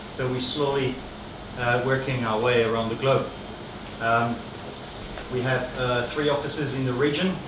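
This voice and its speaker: A man with a non-native accent, medium pitch and a monotone, flat delivery at a moderate pace, with audible room echo and noticeable background noise. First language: not English. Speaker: acoustician. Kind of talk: presentation talk. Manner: halting, many fillers.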